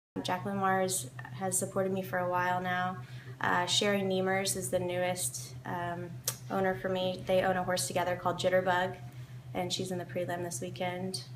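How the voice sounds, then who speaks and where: Amid noticeable background noise and audible room echo, a woman with an American accent talks at medium pitch and a moderate pace, with ordinary pitch variation. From US South, Kentucky. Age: 20s. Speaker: professional event rider. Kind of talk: interview. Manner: hesitant, many fillers.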